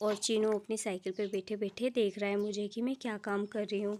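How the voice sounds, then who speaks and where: Noticeable background noise runs under the clip. A woman with a fairly high pitch talks at a moderate pace. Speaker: village vlogger and mother. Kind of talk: vlog voiceover narration. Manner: casual, with hesitations.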